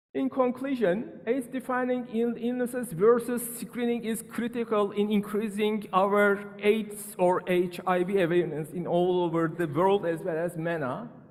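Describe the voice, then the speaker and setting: Against noticeable background noise, a man speaks at a high pitch. He leaves hardly any pauses. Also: ordinary pitch variation, moderate pace. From Turkey, Izmir. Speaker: physician. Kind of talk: conference talk. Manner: halting.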